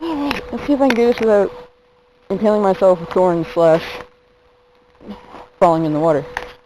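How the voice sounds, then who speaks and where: Noticeable background noise runs under the speech. The pace is fairly quick, broken by long, frequent pauses. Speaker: video blogger. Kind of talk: casual vlog narration. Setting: outdoors.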